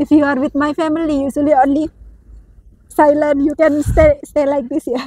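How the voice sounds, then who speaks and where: Her high-pitched voice has a dark, mellow tone and monotone, flat intonation, delivered at a moderate pace with a dry, close sound and no echo. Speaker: vlogger. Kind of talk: casual chat. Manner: talkative.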